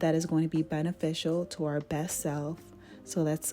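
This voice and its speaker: Music plays behind a woman with an American accent. She speaks at a fairly low pitch and a moderate pace. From Jamaica, then South Florida from age nine. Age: 30s. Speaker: lifestyle vlogger. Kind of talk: vlog intro talk to camera.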